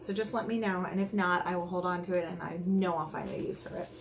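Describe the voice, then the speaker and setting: Fairly quick, monotone, flat delivery amid audible room echo and noticeable background noise. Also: woman. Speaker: beauty vlogger. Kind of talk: unboxing video. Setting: at home, others in the house. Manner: quiet; casual, rambling with fillers. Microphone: may be too quiet.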